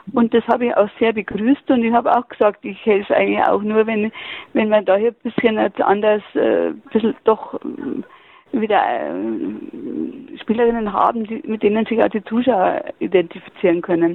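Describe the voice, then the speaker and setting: Against noticeable background noise, a woman talks at a moderate pace and a fairly high pitch, with ordinary pitch variation and hardly any pauses. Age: 70s. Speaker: retired basketball club manager. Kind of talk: interview. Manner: halting, many fillers.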